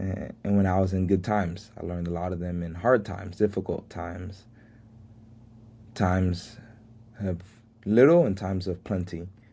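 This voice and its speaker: A man with a very deep, low pitch and a dark, mellow tone speaks at a moderate pace in a monotone, flat way, leaving long, frequent pauses. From Miami, Florida, Haitian family. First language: Haitian Creole. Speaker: podcast host. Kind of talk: motivational monologue.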